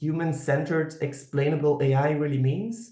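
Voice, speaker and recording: Speaking with a Flemish accent, a man uses a fairly high pitch. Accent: Flemish Dutch accent in English. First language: Dutch. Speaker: professor. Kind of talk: lecture. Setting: online video lecture. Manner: halting, many fillers.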